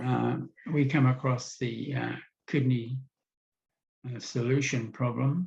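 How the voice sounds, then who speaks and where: Speaking with a New Zealand accent, a man uses a somewhat breathy, medium-pitched voice with fairly even intonation at a fairly slow pace. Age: 70s. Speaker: kidney disease patient. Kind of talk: interview testimony. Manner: halting.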